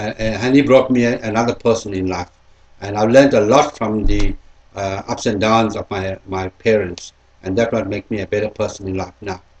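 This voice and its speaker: A man's somewhat breathy, fairly low voice moves at a moderate pace, its intonation fairly even. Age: 60s. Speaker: interviewee, sales rep. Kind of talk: interview answers. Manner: hesitant, repetitive.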